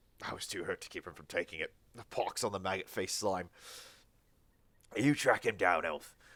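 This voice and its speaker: Putting on a gravelly character voice, a man speaks at a moderate pace in a very clean recording with a silent background. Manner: bitter, cursing.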